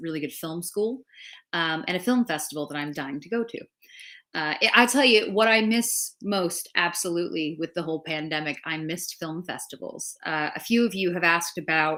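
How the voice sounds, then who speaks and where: In an American accent, a woman talks with lively intonation and a bright, sharp tone. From Los Angeles, US. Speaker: film critic and show co-host. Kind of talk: casual chat, livestream reading viewer comments.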